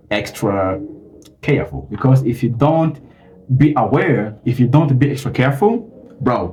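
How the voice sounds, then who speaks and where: Amid audible room echo, a man with a medium pitch and a dark, mellow tone speaks somewhat breathily at a moderate pace with lively intonation. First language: not English. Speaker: YouTuber. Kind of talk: tutorial. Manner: halting, many fillers.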